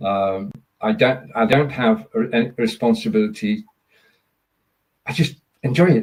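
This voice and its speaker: A man speaks at a moderate pace with a somewhat breathy voice. His pitch swings very widely. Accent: Lancashire. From northern England, Burnley, Lancashire. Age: 70s. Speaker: live streamer. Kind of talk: podcast interview.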